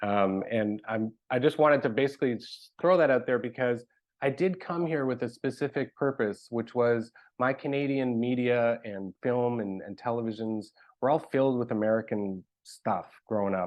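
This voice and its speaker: A man with an unremarkable speaking voice, medium in pitch, at a moderate pace with ordinary pitch variation. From Canada (Montreal). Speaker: arts program director. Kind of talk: presentation.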